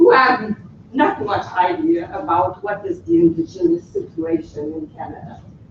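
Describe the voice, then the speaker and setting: A woman speaks at medium pitch and a moderate pace, with very wide pitch swings and big swings in loudness. Noticeable background noise runs behind her. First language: French. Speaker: researcher. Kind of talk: conference presentation. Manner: hesitant; reading from text.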